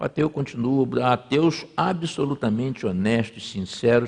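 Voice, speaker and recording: With lively intonation, a man speaks in a normal speaking voice at a medium pitch. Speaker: pastor. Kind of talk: sermon. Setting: church. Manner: conversational.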